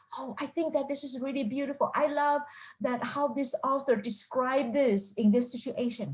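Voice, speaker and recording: With a non-native accent, a woman speaks in a high voice at a moderate pace with fairly even intonation. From Taiwan. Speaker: professor. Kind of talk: lecture. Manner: halting, with fillers.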